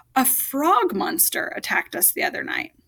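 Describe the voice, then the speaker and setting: Using a put-on character voice, a woman speaks at an extremely high pitch, raspy, with lively intonation and a moderate pace. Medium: read story.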